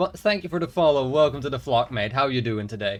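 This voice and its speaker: With a Dutch accent, a man speaks in a fairly high pitch with very wide pitch swings. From Netherlands. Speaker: video game streamer. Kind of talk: casual live-stream chat. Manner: halting.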